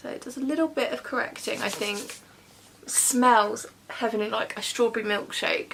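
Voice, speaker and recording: Loudness swings widely and pitch varies in an ordinary way, with noticeable background noise behind the voice. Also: woman, high pitch for a woman. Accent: British. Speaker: beauty vlogger. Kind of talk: makeup tutorial. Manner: fast; chatty.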